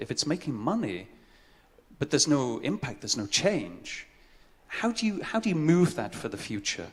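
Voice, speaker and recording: Fairly high-pitched man with vocal fry, very wide pitch swings and a moderate pace. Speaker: conference speaker on social impact. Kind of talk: conference presentation. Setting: stage with audience.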